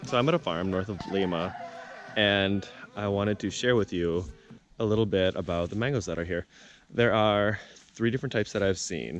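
A man with an ordinary speaking voice, fairly low pitch and ordinary pitch variation, at a fairly quick pace, in a dry sound with no echo over light background noise. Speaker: traveler vlogger. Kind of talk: casual vlog chat. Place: farm. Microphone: phone near.

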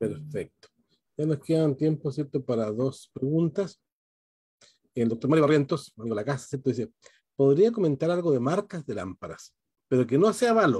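A man with a fairly high pitch speaks at a moderate pace with lively intonation, a somewhat breathy, dark and mellow tone, and long, frequent pauses against a quiet background. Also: dry sound with no echo. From Chile. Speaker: dentist and event moderator; webinar host, moderator. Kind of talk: webinar moderation. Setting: video call. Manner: hesitant, many fillers. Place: home room. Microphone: video call.

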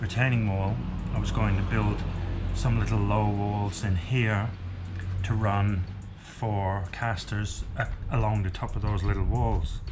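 Music plays in the background as the speaker goes at a fairly slow pace with ordinary pitch variation. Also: man. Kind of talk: casual vlog chat. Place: workshop. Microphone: camera far.

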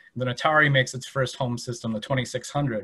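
A man is speaking with ordinary pitch variation. Behind him, the background is quiet. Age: 30s. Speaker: museum educator. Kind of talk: presentation. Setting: online video presentation. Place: home room. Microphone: webcam.

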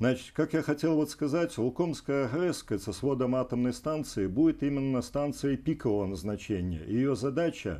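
The man's voice has a dark, mellow tone. He moves at a moderate pace, his pitch varying in an ordinary way. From Belarus, Vitebsk; Belarus. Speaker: energy company executive and regional deputy; guest. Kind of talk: TV interview. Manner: halting. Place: studio. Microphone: lapel.

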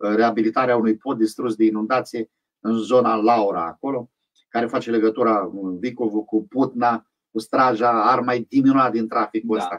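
Against a quiet background, a man with an unremarkable speaking voice talks at a moderate pace and medium pitch with fairly even intonation. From Bukovina, Romania. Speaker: town mayor. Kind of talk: radio interview. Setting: radio studio. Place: studio. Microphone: studio mic.

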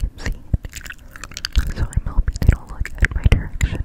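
A woman whispering at a moderate pace. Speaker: ASMR creator. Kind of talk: ASMR video. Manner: whispered. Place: home room. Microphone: studio mic.

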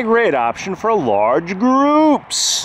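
Recorded with a dry sound and no echo, a man speaks over light background noise. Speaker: hotel reviewer. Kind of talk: tour commentary reading website text. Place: street. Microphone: phone near.

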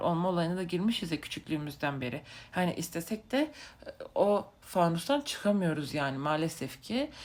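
The speaker's pitch swings very widely. The pace stays moderate. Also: woman. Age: 20s. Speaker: vlogger. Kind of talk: casual monologue. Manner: halting with many fillers.

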